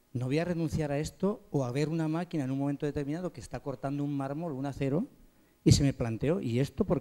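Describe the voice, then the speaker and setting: A dark, mellow tone carries the speech. It runs at a very fast pace with ordinary pitch variation. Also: man. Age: 60s. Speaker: pastry chef. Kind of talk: panel discussion.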